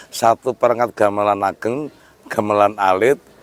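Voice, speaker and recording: At a fairly slow pace, a man speaks at a medium pitch in a dry, close sound with no echo, though noticeable background noise is present. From Central Java, Sragen. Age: 50s. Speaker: traditional music expert. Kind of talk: interview. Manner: halting.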